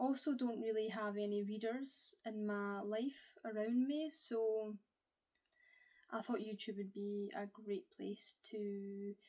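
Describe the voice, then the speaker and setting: A woman's fairly high-pitched, dark, mellow voice with a Scottish accent, very slow in pace, with ordinary pitch variation. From Scotland. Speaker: book YouTuber. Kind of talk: casual to-camera vlog.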